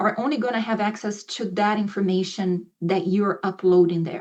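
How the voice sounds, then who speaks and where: The delivery is at a moderate pace. It is an unremarkable speaking voice. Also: woman. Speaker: ESL professor. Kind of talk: presentation to faculty; instructional video for students.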